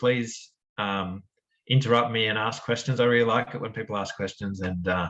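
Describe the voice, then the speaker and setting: A man with a strong Australian accent talks at a fairly quick pace. His pitch sits in the medium range and his intonation stays fairly even. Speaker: researcher in quantum error correction. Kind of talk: academic seminar talk. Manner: casual with frequent fillers.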